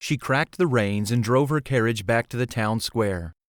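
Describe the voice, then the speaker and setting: A man speaks in a plain, everyday voice at a medium pitch. The recording is very clean and dry, close with no echo and a silent background. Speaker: audiobook narrator. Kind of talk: audiobook narration.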